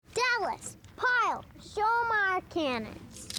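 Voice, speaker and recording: This is a put-on character voice at an extremely high pitch. It moves along at a very slow pace. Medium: comedy sketch. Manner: curt, commanding.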